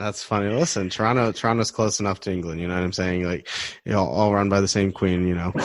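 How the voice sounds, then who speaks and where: Very fast and fairly even in intonation, a man with a Midwestern accent speaks at a fairly low pitch. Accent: American Midwest. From US Midwest, Detroit. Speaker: podcast host. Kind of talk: casual interview.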